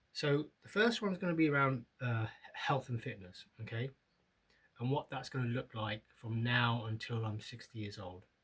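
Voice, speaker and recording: A man with a British accent, at a moderate pace. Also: medium pitch for a man, ordinary pitch variation. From UK. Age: 50s. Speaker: vlogger. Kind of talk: casual vlog monologue. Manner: halting, many fillers.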